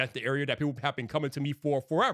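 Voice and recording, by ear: The tone is fairly bright. The recording is very clean, with a silent background. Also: man.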